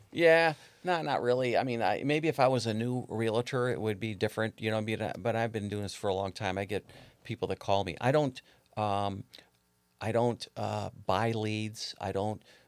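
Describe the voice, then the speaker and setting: This very clean recording with a silent background features a man with an American accent. He speaks at medium pitch and a moderate pace with ordinary pitch variation. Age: 60s. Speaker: realtor. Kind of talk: casual interview chat. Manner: halting, many fillers.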